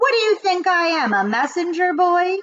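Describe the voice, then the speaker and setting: Putting on a character voice, a woman talks at a moderate pace in an extremely high, squeaky pitch. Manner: grumbling, indignant.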